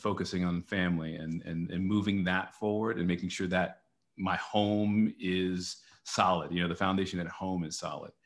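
Very deep and low, a man's voice carries an American accent. His delivery is monotone and flat at a moderate pace. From Texas, Dallas. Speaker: TV news anchor. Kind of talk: casual interview. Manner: halting.

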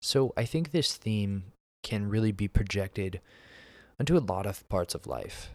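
A man with an unremarkable speaking voice talks at a moderate pace in a fairly low pitch with lively intonation. The recording is very clean, with a silent background. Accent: American. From US Northeast, Pennsylvania. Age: 20s. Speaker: podcast host. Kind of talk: solo monologue podcast. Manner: casual, frequent fillers (um, uh).

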